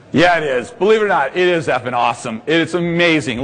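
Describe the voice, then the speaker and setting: Talking at a fairly quick pace, a man with an American accent uses an animated tone and ordinary pitch variation. Noticeable background noise can be heard. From US Midwest, Indianapolis. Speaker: laser tag business executive, seminar presenter. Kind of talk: trade seminar presentation. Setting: conference room with audience. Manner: loud.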